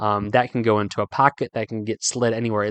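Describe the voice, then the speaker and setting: Here a man is speaking against a quiet background. The sound is dry and close with no echo. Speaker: fly fishing podcast host. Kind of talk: solo podcast tutorial. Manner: fast.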